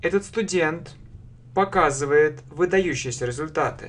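This is a man talking. His pace is fairly slow. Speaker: English teacher. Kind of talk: language lesson, translation drill. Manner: slow, clear, repetitive. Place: home room. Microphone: webcam.

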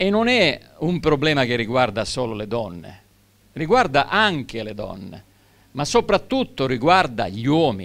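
A man at a medium pitch and fairly slow pace, with very wide pitch swings. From Sicily. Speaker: educator. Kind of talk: public talk. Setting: stage with audience. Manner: hesitant. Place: stage. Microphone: handheld.

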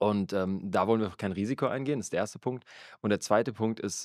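This man talks at a fairly quick pace in an unremarkable speaking voice, pitched fairly low with ordinary pitch variation. The recording is very clean with a silent background and a dry, close sound with no echo. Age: 30s. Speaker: church worker and podcast co-host. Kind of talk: casual chat about faith.

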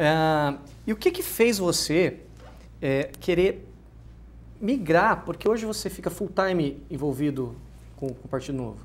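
Long pauses come often in this man's speech. His pace is fairly slow. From interior of São Paulo state, Ribeirão Preto; São Paulo state. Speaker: talk show host. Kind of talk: talk show interview. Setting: TV studio, live talk show. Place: studio.

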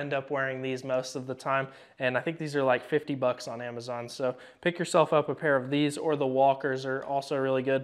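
A man in monotone, flat intonation against a quiet background. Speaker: firearms class instructor. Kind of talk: tutorial. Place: shop.

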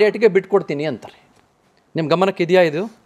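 A man's voice over a quiet background. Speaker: TV news anchor interviewing a minister. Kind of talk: TV political interview. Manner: direct, forthright questioning. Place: studio. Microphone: lapel.

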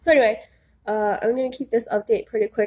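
A woman's medium-pitched, nasal voice with a slightly husky edge and a slightly mellow tone

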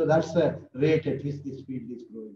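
Recorded with light background noise and audible room echo, a man with an Indian accent speaks in a dark, mellow tone. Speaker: professor. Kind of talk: lecture. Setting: video call. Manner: animated. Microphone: webcam.

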